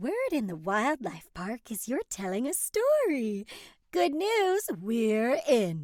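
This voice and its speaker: Using a put-on character voice, a woman speaks very slowly at a fairly high pitch. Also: very clean recording, silent background. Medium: read story.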